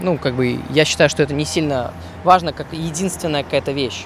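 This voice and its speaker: Noticeable noise can be heard behind the speech. A man's pitch varies in an ordinary way. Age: 20s. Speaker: podcaster, software engineer. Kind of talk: solo monologue podcast. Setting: outdoors, walking. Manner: hesitant, with fillers.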